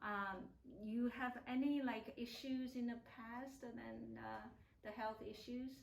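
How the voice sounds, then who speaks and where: Monotone, flat intonation at a fairly slow pace, with audible room echo. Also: woman, fairly high pitch for a woman. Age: 50s. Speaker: acupuncturist interviewing a client. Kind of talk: interview. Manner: halting, many fillers.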